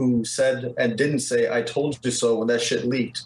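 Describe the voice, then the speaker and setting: This somewhat breathy voice moves at a moderate pace with an American accent. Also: man. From Detroit, US Midwest. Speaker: video game artist. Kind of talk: casual interview chat.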